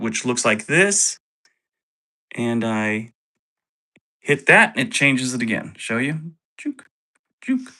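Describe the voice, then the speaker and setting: Against a quiet background, the speech moves at a very slow pace with long, frequent pauses. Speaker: YouTube creator and voice-over narrator. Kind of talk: tutorial. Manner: loud.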